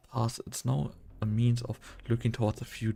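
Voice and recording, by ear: A passage is being read aloud in a natural voice.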